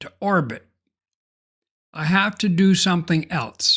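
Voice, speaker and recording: A man with a high pitch and a bright, sharp tone speaks at a fairly slow pace on a very clean recording with a silent background. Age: 70s. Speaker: software tutorial creator. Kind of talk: tutorial.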